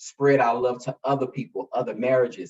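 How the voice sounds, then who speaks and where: With an American accent, a man talks at a moderate pace and medium pitch in an ordinary speaking voice. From US South, Fort Lauderdale, Florida. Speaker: educator. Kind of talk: casual interview chat.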